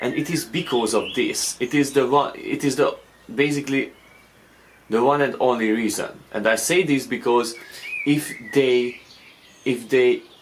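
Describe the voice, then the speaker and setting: A man with a fairly high pitch and fairly even intonation, at a fairly slow pace with long, frequent pauses and noticeable background noise. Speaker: forex trader and video creator. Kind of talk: casual talking-head explainer. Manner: slow, deliberate; halting, many fillers and repeats.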